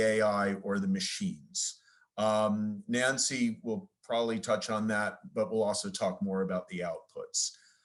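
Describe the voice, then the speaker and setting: Lively intonation marks this man's speech. He has an American accent and a medium pitch. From US, New York. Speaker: lawyer, licensing executive. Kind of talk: conference presentation. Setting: video call. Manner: fast.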